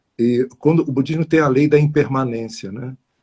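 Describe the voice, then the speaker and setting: Dark and mellow in tone, a man talks at a fairly slow pace with ordinary pitch variation, the sound dry and close with no echo. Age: 60s. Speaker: numerologist. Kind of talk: interview on live stream. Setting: live stream.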